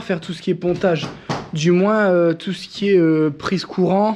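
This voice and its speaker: Moderate pace and high pitch from a man, with ordinary pitch variation. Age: 30s. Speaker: home renovation vlogger. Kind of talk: casual vlog narration.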